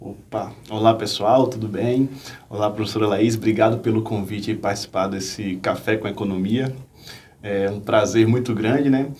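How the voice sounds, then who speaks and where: At a moderate pace, a man with a Bahian accent speaks in a fairly low pitch with fairly even intonation, amid noticeable background noise and audible room echo. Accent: Bahian Brazilian Portuguese, noticeable. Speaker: finance professor and investor. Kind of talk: interview on investing.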